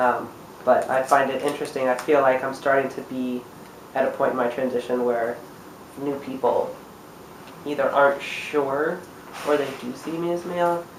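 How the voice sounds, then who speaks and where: Through noticeable background noise and audible room echo, a man with a fairly high-pitched voice speaks at a moderate pace with fairly even intonation and long, frequent pauses. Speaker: vlogger documenting gender transition. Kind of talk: casual video diary. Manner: hesitant, many fillers.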